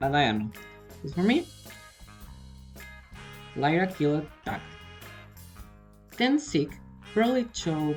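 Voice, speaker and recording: With music in the background, a woman with a non-native accent talks in a very deep, low pitch with very wide pitch swings. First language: not English. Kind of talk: casual fan theory talk. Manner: hesitant, uncertain.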